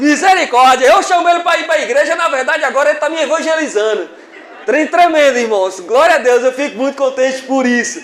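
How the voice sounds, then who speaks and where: Speaking at a fairly quick pace with a northern Minas Gerais accent, a man uses an extremely high pitch with ordinary variation, amid audible room echo and noticeable background noise. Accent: northern Minas Gerais accent, close to Bahian. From far northern Minas Gerais, Brazil. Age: 50s. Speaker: preacher. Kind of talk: sermon. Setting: church.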